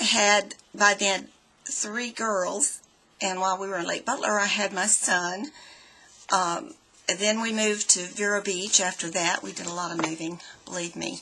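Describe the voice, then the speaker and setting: Noticeable background noise sits behind this voice. A woman speaks at a medium pitch in an American accent. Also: ordinary pitch variation, fairly slow pace. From Florida. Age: 60s. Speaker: student. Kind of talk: personal self-introduction. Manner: hesitant, with fillers.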